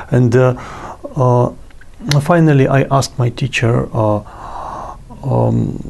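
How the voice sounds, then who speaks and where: A man talks at a very slow pace with medium pitch, very even loudness and fairly even intonation, leaving long, frequent pauses. Noticeable background noise sits behind him. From Russia. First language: Russian. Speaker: yoga guru. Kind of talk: interview. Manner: halting, many fillers.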